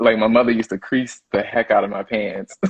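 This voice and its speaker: A man with a Southern US accent. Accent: Southern drawl and twang. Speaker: chef. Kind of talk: interview. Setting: live stream. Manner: casual, filler-heavy.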